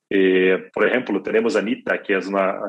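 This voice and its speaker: A man talks at a moderate pace in a flat monotone. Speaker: music distribution executive. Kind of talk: interview. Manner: halting, many fillers and repetitions.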